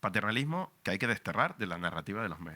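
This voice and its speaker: Fairly low-pitched man with a Canarian accent, very fast and animated, his tone bright and sharp, on a very clean recording with a silent background. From Canary Islands. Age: 40s. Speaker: radio journalist. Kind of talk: book presentation talk.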